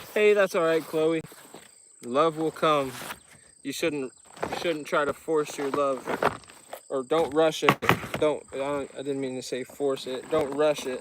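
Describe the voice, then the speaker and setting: A man with an American accent speaks fairly slowly, in a fairly high voice, with long, frequent pauses. Noticeable background noise runs underneath. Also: fairly even intonation. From United States. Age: 20s. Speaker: fishing streamer. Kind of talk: casual chat.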